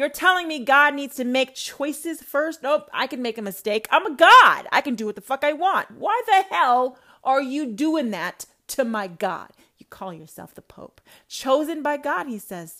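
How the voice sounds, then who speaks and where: Raised and projected, a woman's high voice moves at a moderate pace with an animated tone, very wide pitch swings and big swings in loudness. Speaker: self-styled prophetess podcaster. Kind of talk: religious rant monologue.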